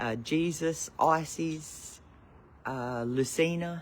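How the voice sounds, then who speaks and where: With an Australian accent, a man speaks very slowly at a fairly high pitch, his intonation fairly even. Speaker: spiritual teacher livestreamer. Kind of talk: casual live stream. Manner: loud; halting with many fillers.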